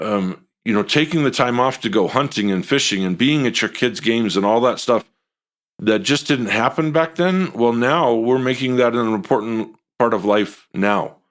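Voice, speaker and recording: On a very clean recording with a silent background, a man talks at a medium pitch and a moderate pace, with ordinary pitch variation. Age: 60s. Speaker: business leader and author. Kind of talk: interview. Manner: halting.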